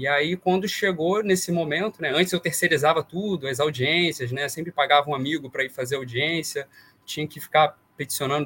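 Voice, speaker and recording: A man with a plain, everyday voice, fairly high in pitch, with ordinary pitch variation and a fairly quick pace. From Brazil, interior of Rio de Janeiro state (Vassouras). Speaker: consumer-rights lawyer. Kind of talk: interview conversation.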